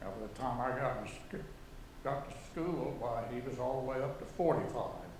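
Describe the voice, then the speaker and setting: A man speaks with an American accent against noticeable background noise. Audible room echo surrounds his voice. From Oklahoma, Enid. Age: 80s+. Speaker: artist. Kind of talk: artist talk. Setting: auditorium with audience.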